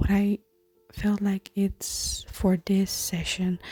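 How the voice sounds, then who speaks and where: Soft-spoken whispering at a very slow pace. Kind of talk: ASMR craft tutorial talk. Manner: soft-spoken, whispered.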